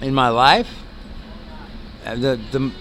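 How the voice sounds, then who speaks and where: Over noticeable background noise, a man with an American accent talks at a moderate pace and medium pitch. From New York City. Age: 60s. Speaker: homeless retired navy chief. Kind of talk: street interview. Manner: halting.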